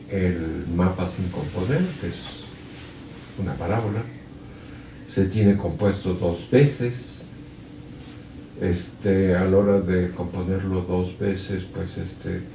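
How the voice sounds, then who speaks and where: A man with a very deep, low pitch speaks at a very slow pace, leaving long, frequent pauses. His intonation is fairly even, and audible room echo surrounds him. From Mexico City. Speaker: physics professor. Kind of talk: lecture. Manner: halting, many fillers.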